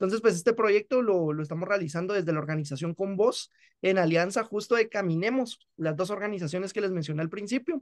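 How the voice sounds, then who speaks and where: A man speaks at a fairly quick clip with a Guatemalan accent, his pitch high and its variation ordinary. He hardly pauses, and the background is quiet. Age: 20s. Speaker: law student and podcast creator; podcast creator. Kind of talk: interview. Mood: relaxed, friendly. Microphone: video call.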